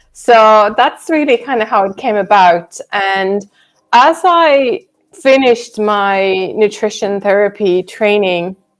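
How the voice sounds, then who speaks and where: In a Swedish accent, the voice goes at a very slow pace with ordinary pitch variation. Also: woman. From Sweden. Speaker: nutrition counsellor. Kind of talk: live stream Q&A chat. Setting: live video stream.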